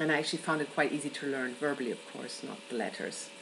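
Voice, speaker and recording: With noticeable background noise, a woman speaks in a German accent. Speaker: event worker and traveller. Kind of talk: personal video answer to a question.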